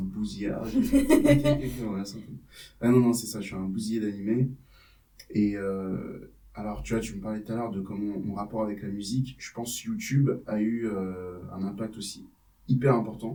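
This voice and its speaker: Big swings in loudness mark this man's dark, mellow tone as he talks at a moderate pace. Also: fairly low pitch for a man, ordinary pitch variation. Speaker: rapper. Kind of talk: interview answer. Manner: casual.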